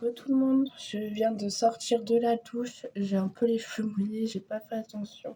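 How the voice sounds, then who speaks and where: A woman speaks at a fairly slow pace with hardly any pauses, her fairly high pitch held in a monotone, flat intonation with a dark, mellow tone. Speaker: lifestyle vlogger. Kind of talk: casual vlog talk to camera. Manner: hesitant, many fillers.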